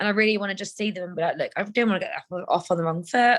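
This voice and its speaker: The woman speaks at medium pitch with ordinary pitch variation. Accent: London. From London. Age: 30s. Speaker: co-host of a women's wellbeing group. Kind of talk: casual chat. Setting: video call.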